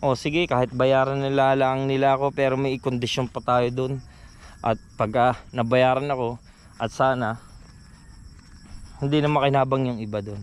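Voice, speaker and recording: A man speaks in a flat monotone at a moderate pace, with long, frequent pauses. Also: medium pitch for a man. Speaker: vlogger. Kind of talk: personal vlog testimony. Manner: usually loud, raised voice.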